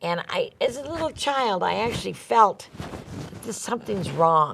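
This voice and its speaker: Speaking at a fairly slow pace with an American accent, a woman moves through very wide pitch swings. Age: 70s. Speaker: sex trafficking survivor and author. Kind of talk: interview testimony. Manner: halting, repeats words.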